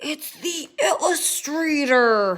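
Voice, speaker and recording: The voice is high in pitch. It is a put-on character voice. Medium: read story.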